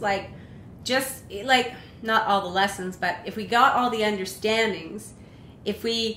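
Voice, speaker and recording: Against noticeable background noise, a woman with a fairly high pitch speaks at a fairly slow pace with ordinary pitch variation. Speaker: online chat show host. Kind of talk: interview question.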